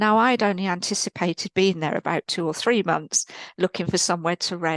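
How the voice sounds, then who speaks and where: A woman with an English accent speaks at medium pitch with fairly even intonation. The sound is dry and close with no echo, over a quiet background. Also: fairly quick pace. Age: 60s. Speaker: spiritual teacher and healer. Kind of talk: podcast interview, personal testimony.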